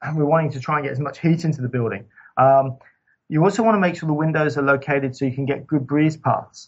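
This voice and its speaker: A somewhat breathy man's voice, fairly high in pitch, at a very fast pace. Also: ordinary pitch variation. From Scotland. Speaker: sustainable building consultant. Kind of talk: interview. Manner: halting.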